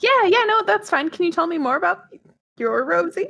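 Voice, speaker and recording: A put-on, female-sounding character voice, squeaky and extremely high-pitched, with very wide pitch swings at a moderate pace. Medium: actual play. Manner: warm, chatty.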